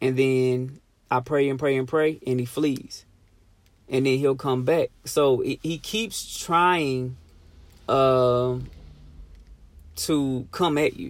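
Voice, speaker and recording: Fairly even intonation comes at a very slow pace with long, frequent pauses on a very clean recording, silent background. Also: man, medium pitch for a man. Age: 30s. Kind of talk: personal testimony and encouragement. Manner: halting, many fillers and repetitions.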